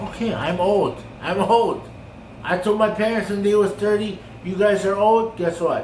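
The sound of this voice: A man speaks at a high pitch and a fairly slow pace, with ordinary pitch variation and a slightly mellow tone. Audible room echo surrounds the voice.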